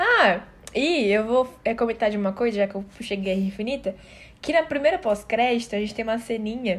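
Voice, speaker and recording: A woman speaks at a fairly quick pace and a fairly high pitch. Her pitch varies in an ordinary way, with noticeable background noise behind her. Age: 18. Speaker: podcast co-host. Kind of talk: casual chat.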